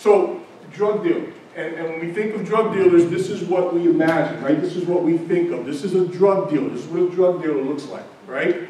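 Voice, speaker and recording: A man with a New York accent talks fairly quickly in a high voice with ordinary pitch variation. Noticeable background noise and audible room echo surround him. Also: big swings in loudness. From Brooklyn, New York (Bedford-Stuyvesant). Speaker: doctor. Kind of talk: lecture. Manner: animated.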